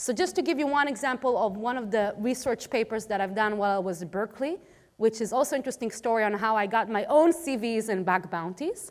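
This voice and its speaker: Over a very clean recording with a silent background, a woman with an Israeli accent talks at a very fast pace in a fairly high voice with lively intonation. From Israel, Tel Aviv. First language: Hebrew. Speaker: cybersecurity policy expert, conference speaker. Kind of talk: conference talk.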